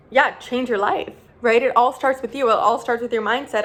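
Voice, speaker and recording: Speaking very fast, a woman keeps her intonation fairly even at a fairly high pitch. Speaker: self-development vlogger. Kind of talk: casual motivational talk to camera.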